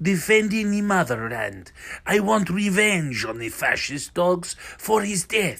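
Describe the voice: The plain reading aloud carries lively intonation.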